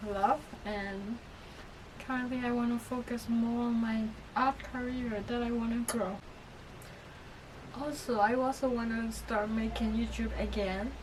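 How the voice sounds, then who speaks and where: Amid noticeable background noise and audible room echo, a woman with a fairly high pitch and fairly even intonation leaves long, frequent pauses. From Myanmar. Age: 20s. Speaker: artist. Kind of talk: personal vlog. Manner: halting.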